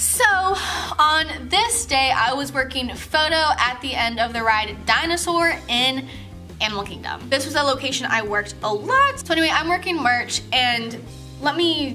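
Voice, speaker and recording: The pace is moderate as a woman talks. Behind her, clear music can be heard. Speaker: vlogger telling a work story. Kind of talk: casual vlog chat. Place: home room. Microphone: camera far.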